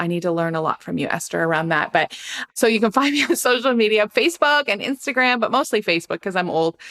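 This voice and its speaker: With a Canadian accent and lively intonation, a woman talks at medium pitch in a plain, everyday voice, recorded dry and close with no echo. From Canada. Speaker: mental health and church care ministry trainer. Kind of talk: podcast interview.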